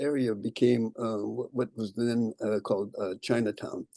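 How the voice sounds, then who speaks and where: Dry and close with no echo, a man's voice carries a dark, mellow tone and a Californian accent. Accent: Californian American English. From US West Coast, San Jose, California. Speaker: local historian giving a talk. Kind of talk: lecture. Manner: halting, many fillers.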